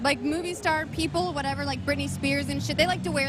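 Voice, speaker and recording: There is music in the background as a woman speaks. Audible room echo surrounds her voice. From United States. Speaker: live stream host. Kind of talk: casual chat. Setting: convention live stream.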